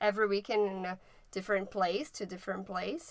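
A woman speaks at a medium pitch with a bright, sharp tone. Her intonation is monotone and flat. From Brazil. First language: Portuguese. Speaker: podcast co-host. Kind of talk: casual chat.

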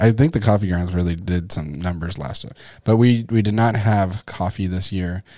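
A man with an American accent, a very deep, low pitch and a dark, mellow tone, moderate pace, ordinary pitch variation and big swings in loudness, on a very clean recording with a silent background. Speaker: youth pastor. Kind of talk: casual podcast chat. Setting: studio. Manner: joking.

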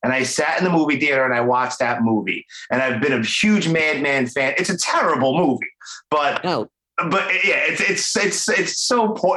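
Speaking in a strong Brooklyn accent, a man has a fairly high pitch. His intonation is lively and his pace moderate. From Brooklyn, New York. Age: 40s. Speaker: podcast host. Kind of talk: casual interview. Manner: animated.

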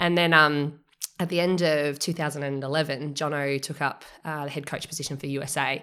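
A woman with an Australian accent speaks at a fairly quick pace in a very deep, low voice with a bright, sharp tone. Her intonation stays monotone and flat, and the recording is very clean with a silent background. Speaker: triathlon coach. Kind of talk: casual interview.

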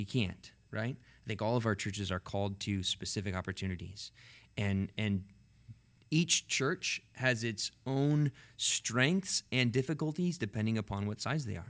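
An unremarkable speaking voice moves at a moderate pace with lively intonation on a very clean recording with a silent background. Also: man. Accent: American. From central Washington State, US. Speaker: pastor of a large church. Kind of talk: casual chat.

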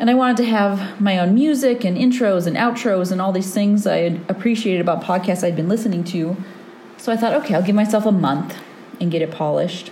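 A woman at a medium pitch talking at a very fast pace with ordinary pitch variation, audible room echo and noticeable background noise. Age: 30s. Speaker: osteopathic physician and podcast host. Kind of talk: solo monologue podcast.

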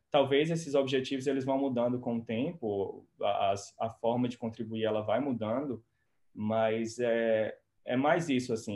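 The speaker has a normal speaking voice with fairly even intonation. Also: man. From Brazil, Ceará (Quixeramobim). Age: 20s. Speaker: pharmacist and doctoral researcher. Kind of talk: interview.

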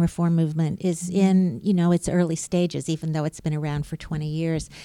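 A woman speaks at a fairly quick pace with a fairly low pitch. The sound is dry and close with no echo, on a very clean recording with a silent background. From US South, Birmingham, Alabama. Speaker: journalist and author. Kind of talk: interview. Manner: hesitant, frequent fillers.

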